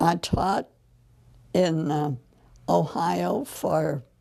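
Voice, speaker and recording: Very slow speech comes from a woman with a Midwestern American accent. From US Midwest (Southern Illinois). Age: 90s. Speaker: retired teacher. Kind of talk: oral history interview. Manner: halting, many fillers.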